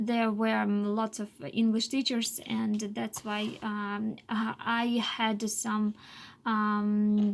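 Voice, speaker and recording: A woman's somewhat breathy, fairly high voice at a very slow pace with monotone, flat intonation. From Russia, Chuvash village. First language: Chuvash and Russian. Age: 20s. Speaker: English teacher, language learner. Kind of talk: personal monologue for language class. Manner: halting, many fillers.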